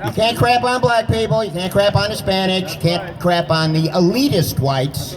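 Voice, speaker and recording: A high-pitched man at a moderate pace, lively in intonation with hardly any pauses, amid noticeable background noise and audible room echo. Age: 70s. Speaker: taxi driver and rally speaker. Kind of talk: impromptu rally speech. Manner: animated.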